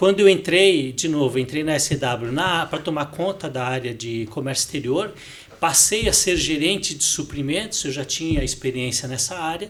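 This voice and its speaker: A man talks with ordinary pitch variation while noticeable background noise is heard. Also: moderate pace. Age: 60s. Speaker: finance director. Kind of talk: podcast interview. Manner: hesitant, repeats words.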